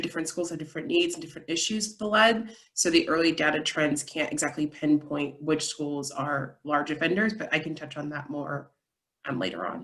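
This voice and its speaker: A woman's fairly low voice carries ordinary pitch variation. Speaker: environmental lawyer. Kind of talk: presentation. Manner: fast.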